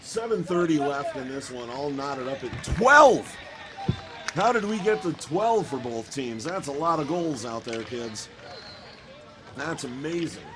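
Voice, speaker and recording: A man with an American accent talks at a fairly slow pace with long, frequent pauses, a fairly high pitch and lively intonation. Noticeable background noise and audible room echo surround him. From US Midwest, Cleveland. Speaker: hockey announcer and voice actor. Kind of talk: live commentary; casual chat. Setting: ice rink. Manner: high energy, animated; pitched high, above normal range.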